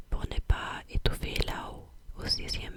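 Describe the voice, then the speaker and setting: Against noticeable background noise, a woman is whispering at a very slow pace. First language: not French (speaking French). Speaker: ASMR creator. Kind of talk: casual chat to viewers; ASMR reading aloud. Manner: soft-spoken, close to the mic; halting, many hesitations.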